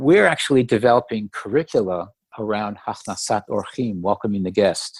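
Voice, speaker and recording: Here a man uses a normal speaking voice with ordinary pitch variation at a moderate pace. The sound is dry and close, with no echo. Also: quiet background. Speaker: co-founder of a grandparents network, interview guest. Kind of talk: interview answer. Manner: conversational, explanatory.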